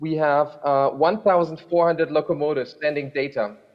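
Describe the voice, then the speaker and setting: Speaking at a moderate pace, a man with a normal speaking voice keeps his fairly high pitch on fairly even intonation. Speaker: rail freight program manager. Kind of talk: panel discussion. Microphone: hears own echo.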